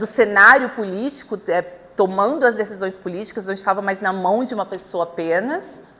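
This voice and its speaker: Here a woman talks. Her voice is medium in pitch. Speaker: law lecturer. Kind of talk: lecture. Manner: hesitant, many fillers and repetitions.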